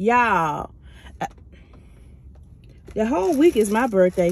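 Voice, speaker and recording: The sound is dry with no echo as a woman speaks at a moderate pace. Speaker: food vlogger. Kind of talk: casual vlog chat. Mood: cheerful, relaxed. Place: car. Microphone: phone near.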